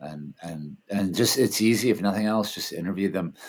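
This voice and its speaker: A man with a plain, everyday voice, an American accent, a fairly low pitch and a moderate pace. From Washington D.C., US. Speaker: film festival founder and documentary director. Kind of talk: interview. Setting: video call.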